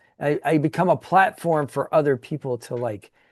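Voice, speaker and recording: A man speaks in an unremarkable speaking voice at a fairly high pitch, with lively intonation. The sound is dry and close with no echo, over a quiet background. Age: 50s. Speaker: YouTuber, former bartender. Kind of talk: casual chat.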